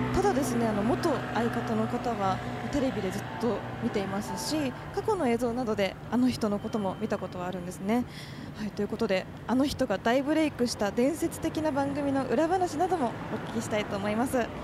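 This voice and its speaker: Against noticeable background noise, a woman talks at a fairly quick pace, her fairly high pitch carried by lively intonation. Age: young. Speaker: radio host. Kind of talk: casual chat. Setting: on location.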